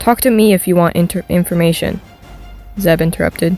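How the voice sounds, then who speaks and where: A woman at a fairly quick pace over music in the background. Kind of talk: story read-along narration.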